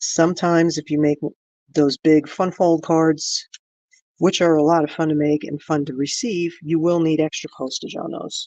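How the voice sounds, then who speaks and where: The speaker has an American accent and a moderate pace, recorded against a quiet background. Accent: slight New Jersey accent, diminished. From New Jersey. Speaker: crafting channel host. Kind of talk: live craft tutorial. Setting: livestream. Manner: casual, chatty.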